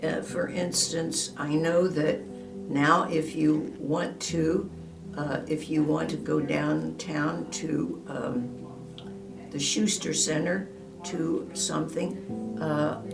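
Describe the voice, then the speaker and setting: Music plays in the background as a woman speaks very slowly. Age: 80s+. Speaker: retiree, former office worker. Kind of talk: interview answer.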